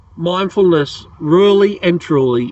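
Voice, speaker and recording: In an Australian accent, a man speaks at a fairly slow pace. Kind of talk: casual talk to camera. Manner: rambling, hesitant.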